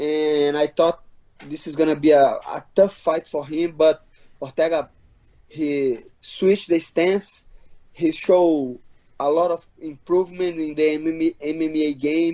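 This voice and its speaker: In a non-native accent, a man speaks at a fairly high pitch with monotone, flat intonation. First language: Portuguese. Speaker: MMA fighter. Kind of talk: interview. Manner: halting, many repeats.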